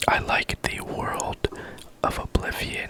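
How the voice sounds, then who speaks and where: A man whispers at a very slow pace. Noticeable background noise runs behind him. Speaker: ASMR gaming creator. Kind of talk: whispered ASMR gaming chat. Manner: whispered.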